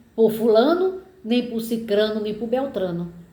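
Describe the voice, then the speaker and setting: A woman speaks with lively intonation, and audible echo fills the room. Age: 70s. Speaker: political commentator. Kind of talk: personal monologue.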